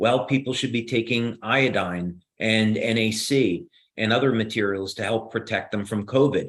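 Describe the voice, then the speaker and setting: A man speaks at a moderate pace in a New Jersey accent. His pitch is medium and his intonation fairly even. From New Jersey, US. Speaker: inventor and company founder. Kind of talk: Q&A on a live video call. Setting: video call. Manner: hesitant, frequent fillers and restarts.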